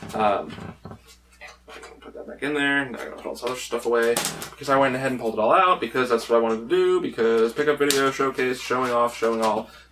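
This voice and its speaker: A man at medium pitch talks at a very fast pace, with ordinary pitch variation and big swings in loudness. Noticeable background noise is present. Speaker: gaming YouTuber, game collector. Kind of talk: casual vlog, showing game pickups. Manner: animated, filler-heavy.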